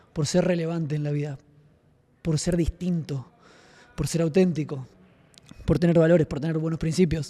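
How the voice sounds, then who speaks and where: Soft-spoken, the man has a dark, mellow tone, a fairly high pitch, fairly even intonation and a moderate pace. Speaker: podcast host and martial arts student. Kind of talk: casual podcast chat.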